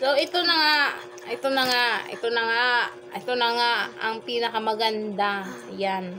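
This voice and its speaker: A woman speaks at a moderate pace with ordinary pitch variation. Noticeable background noise runs behind her. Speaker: online seller, vlogger. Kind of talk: casual vlog chat, product review. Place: home room. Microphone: phone near.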